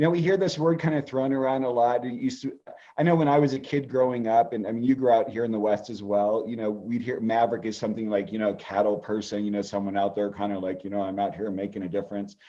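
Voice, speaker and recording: With a West Coast US accent, a man talks at a very fast pace with hardly any pauses, using medium pitch and ordinary pitch variation. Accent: General American (West Coast). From California. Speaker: astrologer. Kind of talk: interview.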